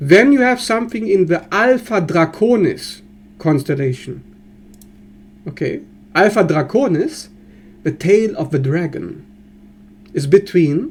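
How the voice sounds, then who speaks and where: A man with a German accent speaks at a fairly slow pace with long, frequent pauses. His high voice has lively intonation. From Germany. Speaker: astrologer. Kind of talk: educational monologue. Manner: animated.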